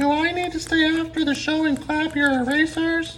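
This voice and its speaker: A cartoonish character voice talks in a high pitch at a moderate pace. Clear background noise can be heard. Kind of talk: sports talk show banter. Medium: puppet.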